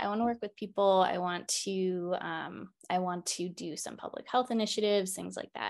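Against a quiet background, a woman with an unremarkable speaking voice talks at a medium pitch and a moderate pace. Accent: American. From Baltimore, Maryland. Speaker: naturopathic doctor and acupuncturist. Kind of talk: interview about her practice.

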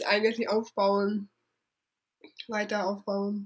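Talking at a fairly slow pace, a woman holds a medium pitch. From Hungary. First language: Hungarian (speaking German). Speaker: travel blogger. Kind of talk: interview. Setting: at her parents' home.

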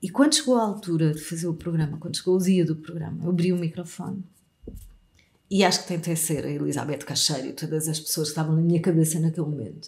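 She speaks very fast, somewhat breathy, with fairly even intonation. The woman's pitch is fairly low. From Portugal, Algarve. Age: 40s. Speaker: radio host and communication coach. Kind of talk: interview.

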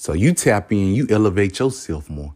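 An animated man in a Southern US accent, fairly low-pitched, with very wide pitch swings. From US South. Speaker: podcast host. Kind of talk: motivational monologue.

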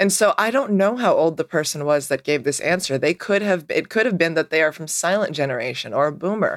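The speech comes at a fairly quick pace with hardly any pauses, on a very clean recording with a silent background. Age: 30s. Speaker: podcast co-host. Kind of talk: casual chat.

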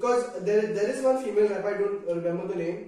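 Amid noticeable background noise and audible room echo, a man with a high voice speaks at a fairly quick pace and ordinary pitch variation. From Saudi Arabia. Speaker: rapper. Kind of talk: casual chat.

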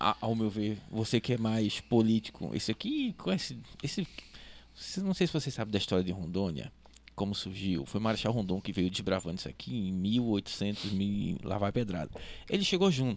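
At a moderate pace, a man with a normal speaking voice uses lively intonation. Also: fairly low pitch for a man. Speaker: podcast host, marketing executive. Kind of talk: podcast interview.

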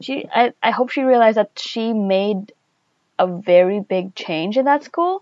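A woman speaks at a fairly slow pace in a normal speaking voice with a fairly high pitch. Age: 20s. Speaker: podcast intern, undergraduate. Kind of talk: casual chat.

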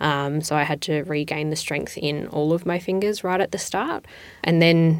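At a moderate pace, a woman speaks with an Australian accent in a very deep, low pitch. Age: 20s. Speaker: patient. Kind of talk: personal testimony. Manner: hesitant with fillers.

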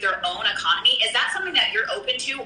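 With an American accent, a woman speaks at a fairly high pitch with lively intonation, while noticeable background noise and audible room echo fill the recording. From US Midwest, Kansas. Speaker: network marketer. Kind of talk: casual interview.

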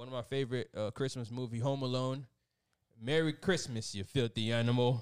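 A man's plain, everyday voice, medium in pitch, with fairly even intonation and a fairly quick pace. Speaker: podcast co-host. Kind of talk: casual chat.

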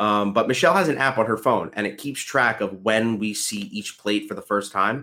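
A man with a bright, sharp tone and medium pitch speaks at a moderate pace, varying his pitch in an ordinary way. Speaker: podcast host and social worker. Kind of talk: casual chat. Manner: casual, chatty.

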